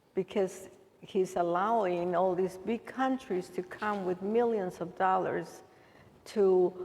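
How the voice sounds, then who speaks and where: Woman with a Salvadoran accent, medium pitch, fairly even intonation, and a fairly slow pace. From El Salvador. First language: Spanish. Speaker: immigrant aid worker. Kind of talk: Q&A talk.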